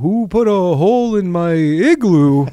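A put-on character voice speaks at a middle pitch in a northern accent. The pace is fairly slow. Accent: put-on native northern. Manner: comic, puzzled.

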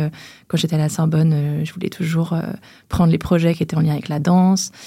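A woman talks at a moderate pace with a very deep, low pitch, a dark, mellow tone, some breathiness and monotone, flat intonation. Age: 30s. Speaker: press officer and clothing brand founder. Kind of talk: interview. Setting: recording studio.

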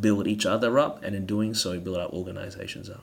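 Fairly low in pitch, a man speaks with an Australian accent. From Australia, Melbourne. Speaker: pastor. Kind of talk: casual interview.

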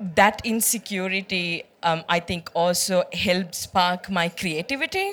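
A woman speaks at medium pitch with fairly even intonation. Her tone is bright and sharp and her pace very slow. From southern Sri Lanka. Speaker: UN youth envoy. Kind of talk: onstage interview. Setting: stage with live audience.

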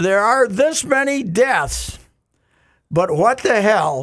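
This is a man speaking. He has an American accent. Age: 70s. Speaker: sports columnist. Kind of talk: casual chat. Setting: studio.

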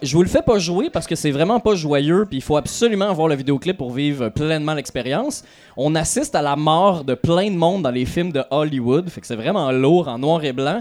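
With an unremarkable speaking voice pitched fairly high, a man talks at a moderate pace with lively intonation and hardly any pauses. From Quebec, Lanaudière. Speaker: podcast host. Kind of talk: live podcast recording. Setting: stage with audience at festival.

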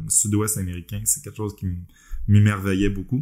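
A man with a Quebec accent speaks at a fairly low pitch. His pitch varies in an ordinary way. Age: 40s. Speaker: podcast host, web developer. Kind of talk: casual chat.

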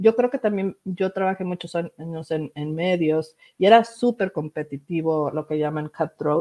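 At a fairly slow pace, the voice carries a dark, mellow tone and ordinary pitch variation, with a dry, close sound and no echo. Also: woman, fairly low pitch for a woman, hardly any pauses. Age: 50s. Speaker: communications executive and crypto site founder. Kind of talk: interview.

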